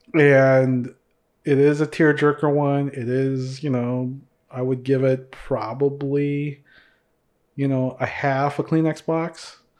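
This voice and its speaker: A man with a Minnesota accent speaks at a very slow pace. His intonation is monotone and flat, over a quiet background. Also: fairly high pitch for a man. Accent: general American (Minnesota). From Mindanao, Philippines (born), raised Minnesota. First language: Visayan. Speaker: podcast host. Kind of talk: casual chat, podcast conversation.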